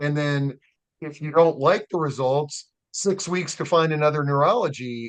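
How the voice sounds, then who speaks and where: Speaking at a moderate pace, a man has a plain, everyday voice with a fairly high pitch. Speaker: interview host. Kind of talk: interview questions.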